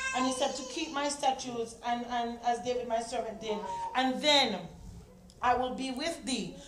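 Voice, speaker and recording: Over noticeable background noise, a woman speaks at a moderate pace with a high pitch. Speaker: church member. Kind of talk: church Bible study discussion. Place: church.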